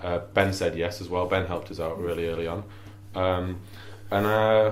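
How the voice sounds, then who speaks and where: A man with a Yorkshire accent speaks at a moderate pace in a very deep, low pitch and a monotone, flat intonation. Audible room echo and noticeable background noise surround him. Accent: Wakefield. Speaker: musician and cassette label co-founder. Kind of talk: casual chat.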